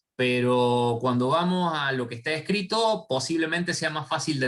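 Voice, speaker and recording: Fairly high male voice with lively intonation at a moderate pace. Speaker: university lecturer. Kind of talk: online lecture. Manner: halting.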